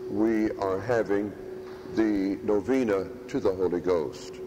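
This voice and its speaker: A man talks with ordinary pitch variation over noticeable background noise. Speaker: priest. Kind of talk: sermon. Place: church.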